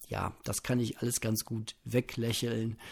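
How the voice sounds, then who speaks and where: A man speaks very slowly in a relaxed tone at a medium pitch. His voice is somewhat breathy. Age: 30s. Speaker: podcaster. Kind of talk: casual solo monologue. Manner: relaxed, unhurried.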